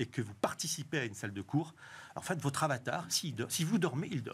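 Somewhat breathy, a man speaks at a fairly quick pace with lively intonation. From southwest France. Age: 50s. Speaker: tech company co-founder and author; guest. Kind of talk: TV interview. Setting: TV studio. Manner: halting, with repetitions. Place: studio. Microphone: lapel.

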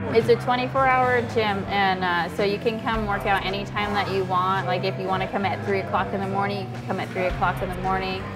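A woman talks at a very fast pace with hardly any pauses. Music plays clearly in the background. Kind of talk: interview answer. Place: gym. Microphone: lapel.

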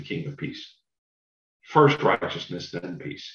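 A man with a fairly high pitch speaks fairly slowly, with vocal fry and very wide pitch swings. The background is quiet, though room echo is audible. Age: 50s. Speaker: Bible class speaker; speaker. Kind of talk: Bible study lecture. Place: home room. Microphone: webcam.

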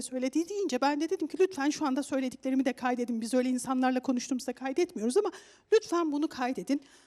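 A woman with a high pitch and a dark, mellow tone talks at a very fast pace with hardly any pauses and ordinary pitch variation, over a quiet background. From Turkey. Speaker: studio expert commentator. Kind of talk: studio discussion. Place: studio. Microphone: headset.

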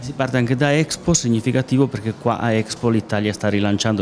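A man talks at a fairly quick pace with fairly even intonation and a slightly mellow tone.

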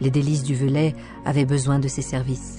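The speaker's pace is fairly slow, and music is heard in the background. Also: woman. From France. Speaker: voice actor; audio guide and documentary narrator.

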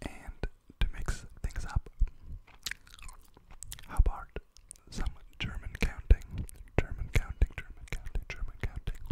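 The speaker is whispering at a fairly slow pace. Long, frequent pauses break up the speech. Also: man. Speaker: ASMR creator. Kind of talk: soft ASMR whisper-style chat and counting. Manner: close-mic whisper while chewing gum. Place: home room. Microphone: studio mic.

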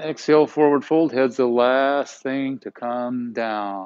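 A man's soothing, calm tone at a very slow pace against a quiet background. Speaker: yoga instructor. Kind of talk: guided yoga class, calm cueing of poses and breath with brief reflective asides. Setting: live online broadcast to home viewers. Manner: soothing, calm and unhurried, giving short instructions in rhythm with breath; warm, conversational and encouraging, with playful words like yumminess. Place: gym.

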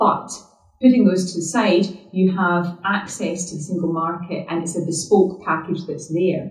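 Speaking at a moderate pace, a woman with a Scottish accent has a fairly low pitch and fairly even intonation. Audible room echo surrounds her voice. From Scotland. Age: 40s. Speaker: politician. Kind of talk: public talk. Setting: stage with audience. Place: hall.

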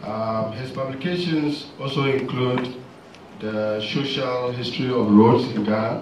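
A man at a fairly slow pace, fairly even in intonation, with audible room echo and light background noise. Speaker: pharmacist and seminar chair. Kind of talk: seminar introduction and commentary. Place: hall.

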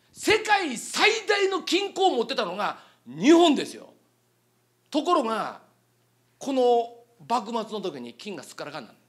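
Against a quiet background, a man talks at a moderate pace in an animated tone with very wide pitch swings. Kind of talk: lecture. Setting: stage with audience. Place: hall. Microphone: handheld.

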